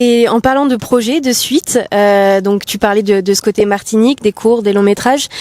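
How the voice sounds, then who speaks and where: A woman in a normal speaking voice at a moderate pace, with hardly any pauses and fairly even intonation. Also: fairly high pitch for a woman. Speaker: interviewer. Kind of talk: interview host questions.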